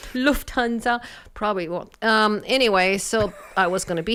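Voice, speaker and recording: A woman with a slight German accent speaks at a moderate pace with lively intonation. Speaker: doctor and former research professor. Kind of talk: casual radio interview. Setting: radio studio.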